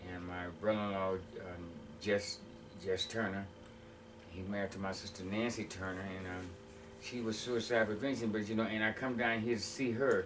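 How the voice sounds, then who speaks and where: Through audible room echo and noticeable background noise, a man with an American accent speaks at a fairly low pitch with fairly even intonation. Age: 60s. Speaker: former prisoner sharing life story. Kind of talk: interview testimony. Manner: halting.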